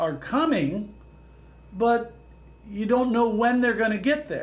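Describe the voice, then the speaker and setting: There is audible room echo around a man's voice. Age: 70s. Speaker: economist and real estate professor. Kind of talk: interview. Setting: podcast.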